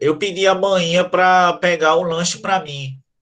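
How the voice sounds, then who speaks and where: A man uses a put-on character voice, nasal and high in pitch. His intonation is fairly even and his pace moderate. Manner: demonstrating blocked-nose speech.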